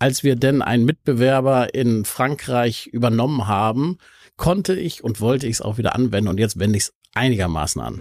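At a fairly quick pace, a man speaks at medium pitch with lively intonation. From Hamburg, northern Germany. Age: 50s. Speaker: entrepreneur. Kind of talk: casual interview. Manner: halting, frequent word repetitions.

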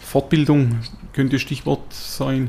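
The voice keeps a very slow pace and fairly even intonation against noticeable background noise. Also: man. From Swabia, southern Germany (near Tuttlingen). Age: 50s. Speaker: company executive. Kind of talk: interview. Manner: hesitant with many fillers.

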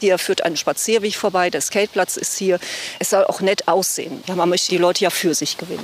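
A woman's medium-pitched voice, fairly quick, with fairly even intonation and noticeable background noise. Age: 50s. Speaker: club secretary, nursing school principal. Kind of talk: casual walking tour chat. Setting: outdoors.

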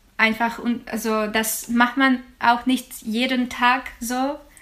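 Here a woman speaks with a Ukrainian accent. Her pitch is high. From Ukraine, Odessa region. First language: Ukrainian (speaking German). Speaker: jazz singer and student. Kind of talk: interview. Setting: video call.

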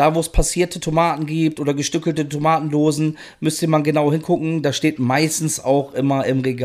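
A man with a fairly high pitch and fairly even intonation is captured in a very clean recording with a silent background. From northern Germany (Rostock), moved west as a child. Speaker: food podcast guest. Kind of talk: casual chat. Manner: loud.

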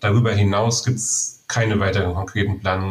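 Amid noticeable background noise, a man speaks at a fairly quick pace in a monotone with flat intonation. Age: 40s. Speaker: biochemist and homebrewer, beer judge. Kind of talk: interview.

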